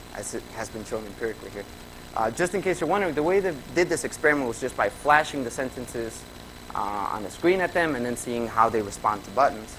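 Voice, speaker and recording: With a Spanish accent, a man talks at a very fast pace and medium pitch, his intonation lively over noticeable background noise. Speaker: graduate student presenter. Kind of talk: conference presentation. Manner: conversational with fillers.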